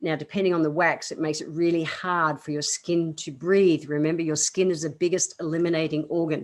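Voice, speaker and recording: Against a quiet background, a woman with an Australian accent speaks fairly quickly in a fairly low pitch and a monotone, flat intonation. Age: 50s. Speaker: naturopath, podcast host. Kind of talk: health advice podcast. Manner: casual, chatty.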